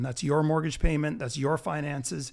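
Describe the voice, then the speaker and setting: In a very clean recording with a silent background, an ordinary speaking voice with a Canadian accent moves at a moderate pace. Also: man. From Canada. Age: 40s. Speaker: health and wellness entrepreneur, crypto enthusiast. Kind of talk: casual chat.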